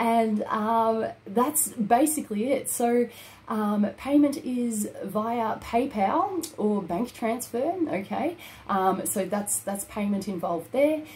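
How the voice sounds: A woman's slow, fairly high voice with few pauses, ordinary pitch variation and a slightly mellow tone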